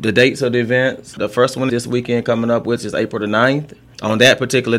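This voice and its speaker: The speaker talks at a fairly quick pace in an American accent. Noticeable background noise sits behind the voice. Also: man. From US South, Thomasville, Georgia. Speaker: city sanitation manager. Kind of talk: radio interview.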